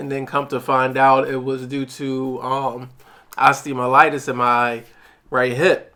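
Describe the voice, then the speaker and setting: Here a man speaks at medium pitch. His intonation is monotone and flat. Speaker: podcast co-host, wheelchair user. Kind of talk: casual chat. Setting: eating during recording. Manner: halting.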